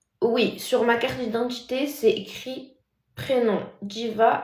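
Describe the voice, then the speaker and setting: Soft-spoken and very slow, a woman talks in a fairly high voice with audible room echo. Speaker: TikTok live streamer. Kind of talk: casual live stream chat reading comments. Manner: soft-spoken, deliberately speaking quietly; normally loud.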